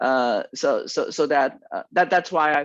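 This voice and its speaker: A man with a Chinese accent is recorded with a dry, close sound and no echo. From China. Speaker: product manager. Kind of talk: interview.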